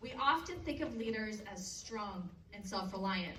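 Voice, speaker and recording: With a Canadian accent, a woman with a fairly high pitch and ordinary pitch variation speaks amid noticeable background noise and audible room echo. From Canada. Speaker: motivational speaker. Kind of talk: keynote speech to teenagers. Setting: stage with audience.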